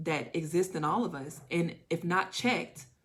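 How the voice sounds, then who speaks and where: Noticeable background noise runs behind a woman speaking. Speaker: tarot reader. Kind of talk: channeled tarot reading. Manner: fast; animated.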